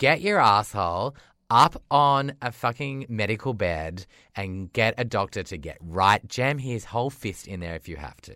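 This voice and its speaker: An Australian-accented man with a bright, sharp tone, lively intonation and an animated delivery at a moderate pace, on a very clean recording with a silent background. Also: fairly low pitch for a man, big swings in loudness. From rural Australia. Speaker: podcast co-host. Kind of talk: casual chat.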